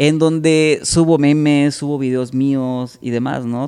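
Here a man speaks at a fairly slow pace with ordinary pitch variation. His tone is dark and mellow. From Salamanca, Guanajuato, central Mexico. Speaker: entertainer and TV/radio host. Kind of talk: casual chat.

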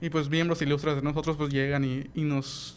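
This voice moves at a moderate pace with a flat, monotone intonation. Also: man. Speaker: astronomy club representative, engineering graduate. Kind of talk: radio interview. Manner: halting, many fillers and repetitions.

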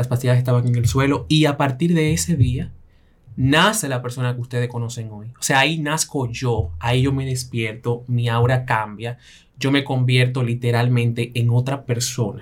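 A man talks at a moderate pace with a medium pitch, ordinary pitch variation, and a somewhat breathy quality. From Belgium, raised in Latin immigrant family. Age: 20s. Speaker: image consultant and fashion stylist. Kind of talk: interview, personal testimony.

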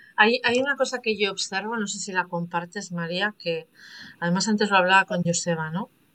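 This woman has a plain, everyday voice at a medium pitch. She talks fairly quickly with ordinary pitch variation. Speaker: podcast host, coach. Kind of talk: interview; scripted narration.

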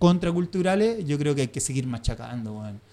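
Fairly high in pitch, a man with a Chilean accent speaks in a dark, mellow tone. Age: 30s. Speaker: screen printer. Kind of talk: casual chat.

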